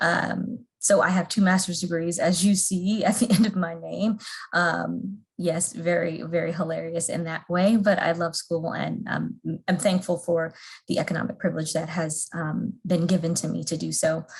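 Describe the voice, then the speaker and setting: A woman speaks at a moderate pace with a fairly low pitch and vocal fry. Her intonation stays fairly even. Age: 30s. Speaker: trainer. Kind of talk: training presentation.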